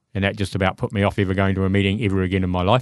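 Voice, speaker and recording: A man with a New Zealand accent and a fairly low pitch. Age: 50s. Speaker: recovering alcoholic. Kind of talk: testimony.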